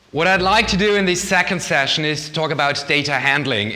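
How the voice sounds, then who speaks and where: A man speaks with ordinary pitch variation. Room echo is audible, and background noise is noticeable. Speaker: lecturer on research data management. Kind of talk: lecture. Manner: fast.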